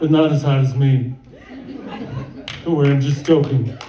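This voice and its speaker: A man's fairly high, monotone voice at a fairly slow pace, with flat intonation, audible room echo and noticeable background noise. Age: 70s. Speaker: stand-up comedian. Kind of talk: stand-up. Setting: stage with audience.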